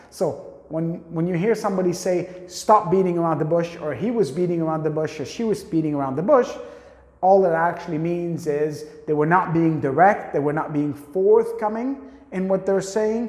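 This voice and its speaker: A man speaks in a high voice with an animated tone and ordinary pitch variation. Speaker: English teacher. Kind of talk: tutorial. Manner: fast.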